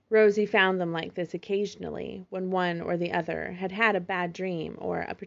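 In a natural reading voice, the words come with fairly even intonation.

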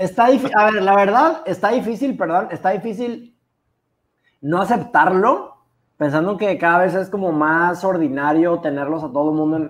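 Moderate pace in a Mexican accent. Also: man, high pitch for a man. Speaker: podcast co-host. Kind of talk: casual chat.

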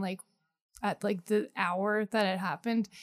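At a moderate pace and a medium pitch, a woman with an American accent talks in an unremarkable speaking voice. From US Northeast, Poconos, Pennsylvania. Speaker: comedian. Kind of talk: casual interview chat.

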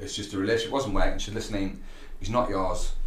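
A man speaks with a British accent. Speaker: gym owner and fitness coach. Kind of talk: casual chat. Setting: gym.

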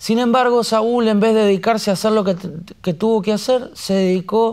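With a Rioplatense accent, a man speaks at a high pitch with fairly even intonation. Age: 40s. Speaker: pastor. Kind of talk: sermon.

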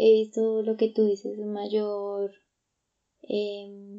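With a dark, mellow tone, a woman speaks at a fairly high pitch. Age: 20s. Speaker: psychologist, podcast co-host. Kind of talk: casual chat.

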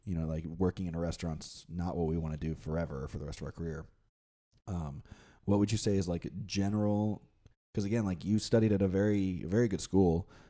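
A very deep, low male voice at a fairly quick pace, with ordinary pitch variation. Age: 20s. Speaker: podcast co-host and restaurant host, actor. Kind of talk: casual chat.

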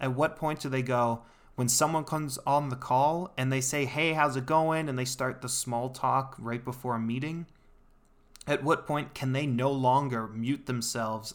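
With an unremarkable speaking voice, a man speaks at a moderate pace and medium pitch, keeping his intonation fairly even. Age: 20s. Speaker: podcast host. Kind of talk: solo monologue podcast. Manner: casual, conversational.

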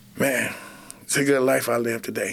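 An unremarkable speaking voice, this man's is medium in pitch, with an American accent, fairly even intonation and a moderate pace. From Flint, Michigan. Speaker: kitchen director at a rescue mission, former addict. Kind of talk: interview testimony.

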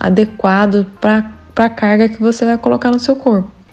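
Music plays in the background as a woman talks at a moderate pace and medium pitch, with ordinary pitch variation. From Brazil, Andradina, São Paulo interior. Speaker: running coach. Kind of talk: interview, giving running tips.

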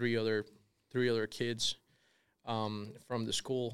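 A man of medium pitch speaks in a monotone, flat manner with a Spanish accent on a very clean recording with a silent background. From Colombia. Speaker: real estate developer. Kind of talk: interview.

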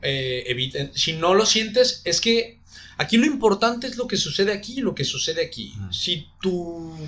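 A man with a high pitch and a bright, sharp tone speaks at a fairly slow pace, his voice making very wide pitch swings. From Mexico, Guadalajara. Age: 20s. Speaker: university program coordinator. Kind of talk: casual interview.

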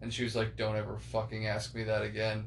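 Room echo and noticeable background noise can be heard as a man speaks at medium pitch. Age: 20s. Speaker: podcast host. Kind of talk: casual chat. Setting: living room recording.

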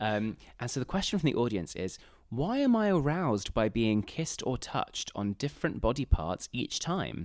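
The recording is very clean, with a silent background. A man speaks at a moderate pace and medium pitch, his pitch swinging very widely. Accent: English. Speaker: podcast co-host. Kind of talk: casual chat. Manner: animated.

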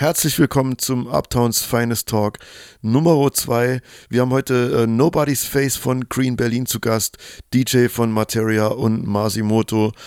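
An unremarkable speaking voice from a man at medium pitch, fairly slow and fairly even in intonation, with a dry, close sound, no echo, and a very clean, silent background. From Chemnitz, Saxony, Germany. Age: 30s. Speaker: podcast host and DJ. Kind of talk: casual interview chat. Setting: hotel lobby.

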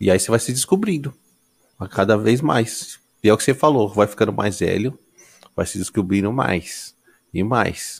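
Speaking at a moderate pace, the man uses a fairly low pitch with ordinary pitch variation. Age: 30s. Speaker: podcast host. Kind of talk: casual chat.

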